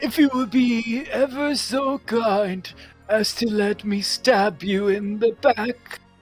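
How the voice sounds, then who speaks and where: With faint music in the background, a put-on character voice at a fairly high pitch moves at a very slow pace. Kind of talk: overly polite, archaic. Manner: very slow, polite, sly.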